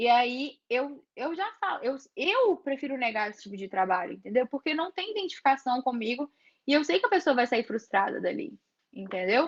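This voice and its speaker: A woman with a high pitch talks at a moderate pace, with very wide pitch swings and big swings in loudness, in a dry, close sound with no echo. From interior of Brazil. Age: 20s. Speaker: photographer. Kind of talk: workshop talk with Q&A.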